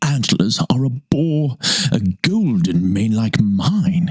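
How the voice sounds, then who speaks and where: Using a put-on character voice, a man with a medium pitch speaks at a very slow pace. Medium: read story. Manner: boastful.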